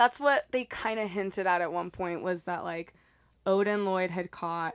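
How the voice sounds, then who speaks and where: On a very clean recording with a silent background, a woman with an American accent speaks at a moderate pace and a fairly low pitch. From Texas, El Paso. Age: 20s. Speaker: podcast guest. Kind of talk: casual chat. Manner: soft-spoken.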